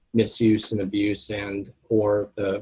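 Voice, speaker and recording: A man's fairly low voice, somewhat breathy, with monotone, flat intonation. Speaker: pharmacy professor presenting a webinar. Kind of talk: lecture. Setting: webinar.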